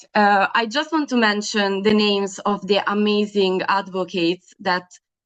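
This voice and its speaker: She speaks with an Italian accent. Her voice sits at a medium pitch. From Italy. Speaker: young women's health advocate, event moderator. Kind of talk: webinar moderation. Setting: video call webinar. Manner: hesitant, many fillers.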